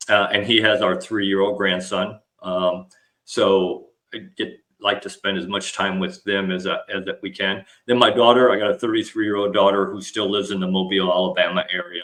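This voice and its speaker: With an ordinary speaking voice, a man of fairly low pitch talks at a fairly quick pace with fairly even intonation. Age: 60s. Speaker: retired army officer and leadership speaker. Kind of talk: podcast interview.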